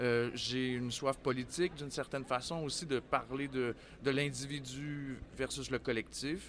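This man has an ordinary speaking voice at a medium pitch, talking at a fairly slow pace with fairly even intonation. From Quebec City. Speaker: theatre artistic director. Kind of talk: interview. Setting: book fair, live on site.

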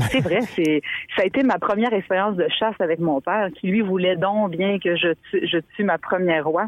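A woman speaks in a normal speaking voice at medium pitch and a moderate pace. Her pitch varies in an ordinary way, and her loudness stays very even. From Quebec, Montmagny region. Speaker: author. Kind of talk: interview.

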